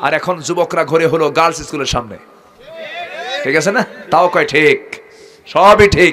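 A man's fairly high-pitched, animated voice over light background noise. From Bangladesh. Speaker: Islamic preacher. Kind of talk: sermon. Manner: animated, calls for loud responses. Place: stage. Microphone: podium.

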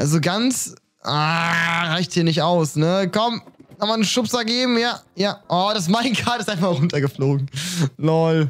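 A man speaks with lively intonation. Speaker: streamer. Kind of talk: reaction commentary. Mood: amused, laughing. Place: home room. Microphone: studio mic.

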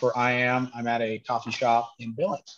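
Against a quiet background, a man talks at a moderate pace with monotone, flat intonation. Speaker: event host. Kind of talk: webinar host welcome remarks. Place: cafe. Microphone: headset.

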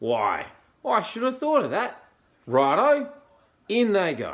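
Putting on a character voice, a man speaks slowly at a high pitch with very wide pitch swings.

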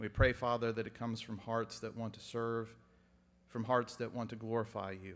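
Here a man speaks at a medium pitch and a fairly quick pace. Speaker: prayer leader. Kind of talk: public prayer. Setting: church chapel with audience. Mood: solemn, earnest. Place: church. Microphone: podium.

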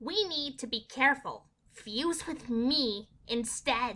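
In a put-on character voice, a female-sounding speaker uses a high pitch, captured in a very clean recording with a silent background. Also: fairly slow pace. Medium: dub.

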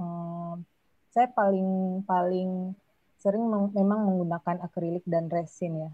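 A woman speaks very slowly in a fairly low voice with ordinary pitch variation. The sound is dry with no echo, and the background is quiet. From West Sumatra, Payakumbuh; West Sumatra. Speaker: multimedia artist; guest. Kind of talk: casual chat. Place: home room. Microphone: video call.

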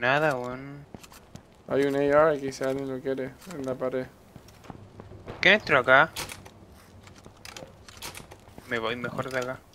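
Over light background noise, a man speaks fairly slowly in a monotone, flat intonation, with long, frequent pauses. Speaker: gaming streamer. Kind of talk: casual gameplay commentary.

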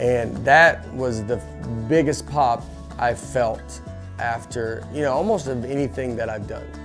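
Backed by music, a man with an American accent speaks at medium pitch and a moderate pace with lively intonation. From Nashville, Tennessee. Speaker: stand-up comedian. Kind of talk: interview answer.

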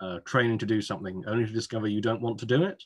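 With an English accent, a man speaks in fairly even intonation against a quiet background. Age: 30s. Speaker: admissions consultant; admissions tutor. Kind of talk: webinar presentation. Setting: video call. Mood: relaxed, humorous. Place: home room. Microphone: webcam.

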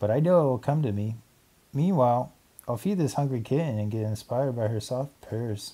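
This clip features an unforced reading voice.

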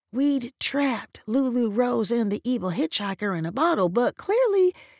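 A woman with an ordinary speaking voice and a fairly high pitch talks at a moderate pace with lively intonation, recorded dry and close with no echo. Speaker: audiobook narrator. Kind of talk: literary audiobook reading, first-person narration with character dialogue.

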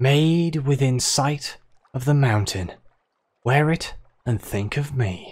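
In a wheezy put-on character voice, a man at medium pitch speaks at a fairly slow pace with long, frequent pauses.

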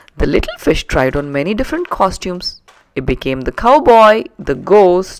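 The passage is read in a natural voice.

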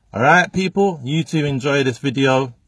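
A somewhat breathy voice at a moderate pace, dry with no echo, over light background noise. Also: man. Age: 30s. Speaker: motivational speaker. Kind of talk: direct-to-camera vlog monologue. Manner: casual, unscripted. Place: car. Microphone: phone near.

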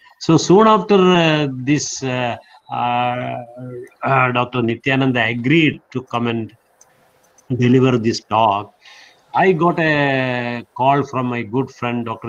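A man at a very slow pace, with ordinary pitch variation. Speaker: webinar host giving thanks. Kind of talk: formal remarks. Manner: halting. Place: home room. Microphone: video call.

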